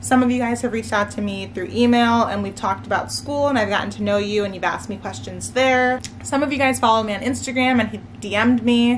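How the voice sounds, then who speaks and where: A woman talks at a very fast pace with hardly any pauses, amid audible room echo and noticeable background noise. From US, Maryland. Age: 20s. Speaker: nursing student vlogger. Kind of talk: casual chat. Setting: at home, sitting on living room floor. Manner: relaxed.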